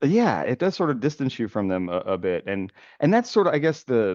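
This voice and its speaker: A man with an American accent. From United States. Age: 40s. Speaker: podcast host. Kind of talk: casual interview.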